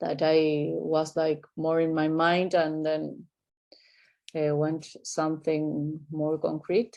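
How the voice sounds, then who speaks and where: A woman speaks with an Argentine accent at a very slow pace. Her pitch is very deep and low, and her tone is dark and mellow. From Argentina (Buenos Aires). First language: Spanish. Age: 30s. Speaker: artist and clinical psychologist. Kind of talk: interview. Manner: halting, many fillers.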